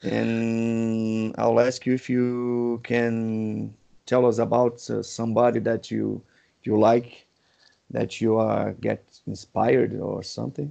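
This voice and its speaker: Speaking very slowly, a man talks in a Portuguese accent. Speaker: podcast host. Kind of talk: interview.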